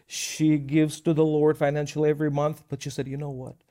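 A man with a Russian accent talks at a fairly quick pace in a fairly high pitch with a dark, mellow tone. The recording is very clean, with a silent background. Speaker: minister. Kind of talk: Bible teaching show. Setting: studio.

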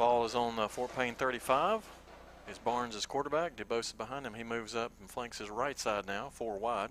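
With a Southern US accent, a man speaks at medium pitch and a moderate pace, his intonation fairly even but his loudness swinging widely. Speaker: radio play-by-play announcer. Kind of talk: live sports commentary. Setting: stadium press box.

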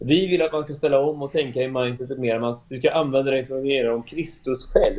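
A fairly high-pitched man with a Swedish accent, moderate pace and hardly any pauses, over noticeable background noise. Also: fairly even intonation. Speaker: architect. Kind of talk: interview.

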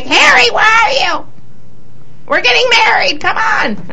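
A female-sounding put-on character voice shouts at a moderate pace. Clear background noise is present. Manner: nagging, calling out.

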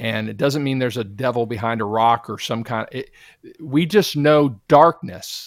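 A man with an ordinary speaking voice talks at a moderate pace and medium pitch, with ordinary pitch variation. His loudness goes through big swings. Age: 50s. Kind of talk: casual interview testimony.

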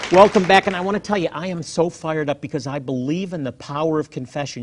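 The background is quiet. A man with a fairly high pitch speaks in an animated tone. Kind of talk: passioned sermon-style Bible teaching with a promotional intro. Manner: fervent, animated, emphatic.

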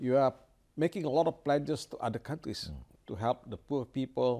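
At a moderate pace, a man with an Indonesian accent speaks at a medium pitch in a dark, mellow tone with vocal fry. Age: 70s. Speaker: ambassador. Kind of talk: interview. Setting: at his residence.

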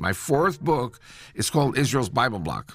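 Vocal fry runs through very wide pitch swings on a very clean recording with a silent background. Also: man. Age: 70s. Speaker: Israeli political activist and author. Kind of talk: radio interview.

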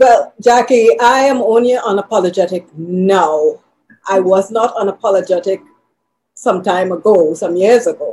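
A woman with a dark, mellow tone speaks at a moderate pace. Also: medium pitch for a woman, ordinary pitch variation. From Tobago, Trinidad and Tobago. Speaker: minister. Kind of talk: interview. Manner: intense.

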